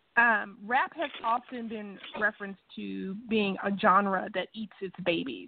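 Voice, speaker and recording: A woman of medium pitch speaks at a fairly slow pace with hardly any pauses, ordinary pitch variation and big swings in loudness. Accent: Mississippi. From US South, Natchez, Mississippi. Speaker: radio host. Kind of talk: radio interview.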